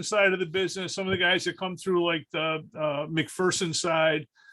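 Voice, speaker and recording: A man speaks in a raised, projected voice with a high pitch and a bright, sharp tone. His pace is moderate. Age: 60s. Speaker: restoration shop owner. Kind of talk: casual roundtable discussion. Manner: halting, many fillers and repetitions.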